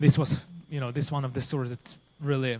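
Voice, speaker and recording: This is a man speaking. He has a Ukrainian accent. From Ukraine. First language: Ukrainian or Russian. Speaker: pastor. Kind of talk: testimony. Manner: halting.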